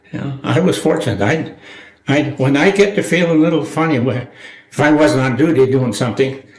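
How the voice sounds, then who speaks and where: A somewhat breathy man in an Upper Midwest accent, with ordinary pitch variation. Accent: Upper Midwest American. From rural Minnesota, USA. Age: 80s+. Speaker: war veteran. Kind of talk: interview answer.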